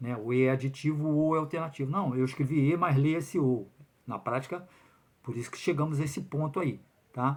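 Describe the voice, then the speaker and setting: Speech moves at a fairly quick pace with ordinary pitch variation. The background is silent on a very clean recording. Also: man, fairly high pitch for a man. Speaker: lawyer commenting on public exam lawsuit. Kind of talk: video commentary monologue. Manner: fast; hesitant fillers.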